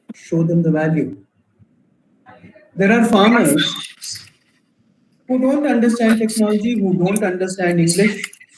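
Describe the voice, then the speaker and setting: A man with a high voice speaks at a fairly slow pace, with ordinary pitch variation, very even loudness, and long, frequent pauses, in a room with audible echo. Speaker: entrepreneur and startup mentor. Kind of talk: Q&A in an online workshop.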